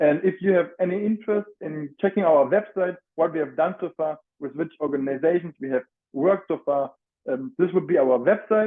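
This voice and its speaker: Speaking in a strong German accent, a man talks at a moderate pace. His pitch is high, with ordinary variation. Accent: heavy German. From Germany (Frankfurt). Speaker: student mental health advocate. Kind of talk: presentation. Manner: halting.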